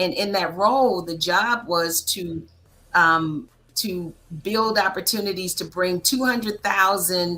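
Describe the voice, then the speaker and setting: A woman's medium-pitched voice in a bright, sharp tone with an American accent, at a fairly slow pace. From Annapolis, Maryland, US. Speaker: political strategist and consultant. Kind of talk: interview conversation. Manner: talkative.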